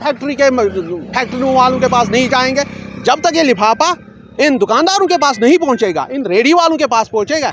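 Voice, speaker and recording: A man's extremely high voice, animated and lively in intonation, at a moderate pace over crowd noise in the background. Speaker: interviewee, alleged assault victim. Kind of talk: interview testimony. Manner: animated, repetitive.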